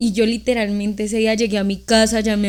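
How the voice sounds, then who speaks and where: At a moderate pace, a woman talks with fairly high pitch. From Colombia, Norte de Santander. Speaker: podcast co-host, dental student/dentist. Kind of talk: casual chat, anecdote.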